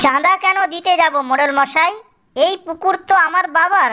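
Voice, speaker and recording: An extremely high pitch marks this cartoonish character voice. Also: fairly slow pace. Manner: polite but defiant.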